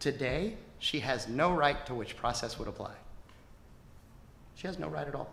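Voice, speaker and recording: A fairly high-pitched male voice with vocal fry and ordinary pitch variation, long frequent pauses, and audible room echo. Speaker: government attorney. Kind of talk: closing argument in court. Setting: courtroom. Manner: fast.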